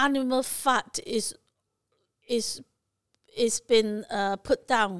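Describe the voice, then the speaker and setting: A woman speaks at a very slow pace, her pitch fairly high with ordinary variation. Long, frequent pauses break up her words, and the sound is dry and close with no echo. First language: not English. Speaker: takeaway business owner, co-host. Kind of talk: casual chat.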